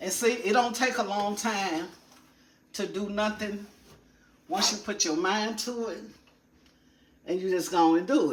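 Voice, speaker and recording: A woman in an animated tone talks at a fairly slow pace with long, frequent pauses and audible room echo. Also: medium pitch for a woman, ordinary pitch variation. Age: 60s. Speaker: lifestyle vlogger. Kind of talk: casual vlog talk while cleaning. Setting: home kitchen.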